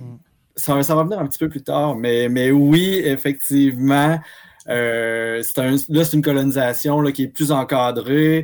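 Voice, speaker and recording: A man with a Quebec accent speaks at a fairly slow pace with fairly even intonation. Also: fairly high pitch for a man. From Quebec, Abitibi-Témiscamingue. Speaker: archivist. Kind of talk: casual history discussion.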